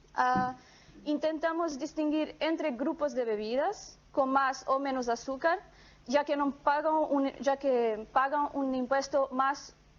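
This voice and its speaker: A woman with a high pitch speaks in a non-native accent. Her pace is fairly slow, with ordinary pitch variation. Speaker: economics researcher. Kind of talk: academic conference presentation. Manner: reading from script, halting with fillers.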